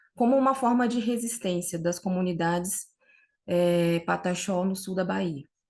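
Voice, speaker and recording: A woman at a medium pitch, fairly slow in pace, with ordinary pitch variation and a quiet background. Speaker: researcher. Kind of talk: academic conference talk. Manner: halting.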